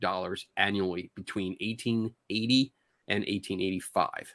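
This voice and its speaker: A man with a Philadelphia accent, the sound dry and close with no echo. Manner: stumbles over words.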